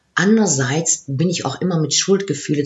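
A woman with lively intonation. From Aachen area, Germany / Netherlands border. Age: 50s. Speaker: coach and former HR executive. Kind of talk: interview. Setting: in person in Maastricht.

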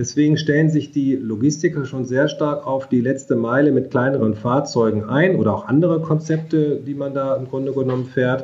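A man's fairly high, somewhat breathy voice with a dark, mellow tone, fairly even intonation and a moderate pace. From rural Germany. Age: 50s. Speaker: mobility agency director, economist. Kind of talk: interview.

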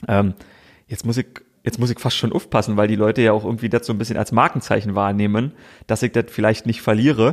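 This man has a strong Berlin-Brandenburg accent and a medium pitch. He talks at a very fast pace with fairly even intonation. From Brandenburg, Königs Wusterhausen near Berlin. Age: 30s. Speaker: sports TV presenter. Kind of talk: casual interview chat.

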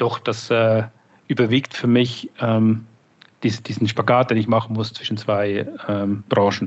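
A man's medium-pitched voice in a monotone, with flat intonation. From Switzerland. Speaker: marketing director. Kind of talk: interview.

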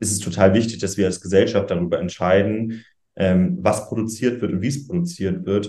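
A man's fairly low voice, dark and mellow in tone, at a moderate pace. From northern Germany, Schleswig-Holstein. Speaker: youth political spokesperson. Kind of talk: interview.

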